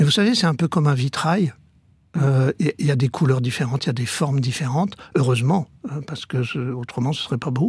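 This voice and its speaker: A man speaks at a fairly high pitch with ordinary pitch variation and a somewhat breathy quality. The sound is dry and close, with no echo. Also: fairly quick pace. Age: 70s. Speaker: former priest turned coach. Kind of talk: radio interview.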